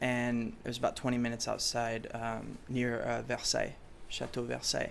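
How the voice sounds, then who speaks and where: A man's moderate-paced speech comes through with audible room echo. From Chicago, raised partly in France. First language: French. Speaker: pop musician. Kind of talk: interview. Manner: hesitant, many fillers.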